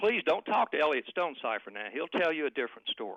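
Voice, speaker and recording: A man with a Southern US accent talks with very wide pitch swings. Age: 60s. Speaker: political analyst. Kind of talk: heated debate. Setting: phone call. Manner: animated.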